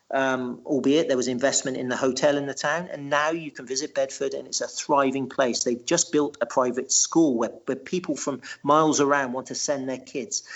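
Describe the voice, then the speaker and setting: Hardly pausing at all, a man with a fairly high voice speaks at a moderate pace with fairly even intonation. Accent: English. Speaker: writer and local historian. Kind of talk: podcast interview. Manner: halting, with many repetitions.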